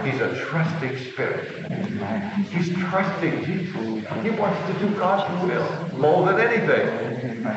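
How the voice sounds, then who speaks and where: A man with a high pitch talks at a very slow pace with lively intonation. Strong room echo and noticeable background noise surround him. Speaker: preacher. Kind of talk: sermon. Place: church. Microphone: old recording.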